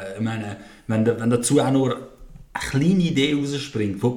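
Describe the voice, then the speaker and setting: Noticeable background noise and audible room echo surround speech with ordinary pitch variation. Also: man. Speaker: podcast host. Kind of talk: casual chat.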